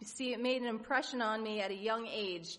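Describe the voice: The intonation is fairly even. It is plain reading aloud.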